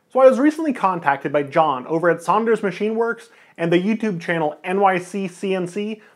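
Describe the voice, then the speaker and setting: A man's voice against a quiet background. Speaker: printmaker channel host. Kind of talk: casual vlog chat. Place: home room.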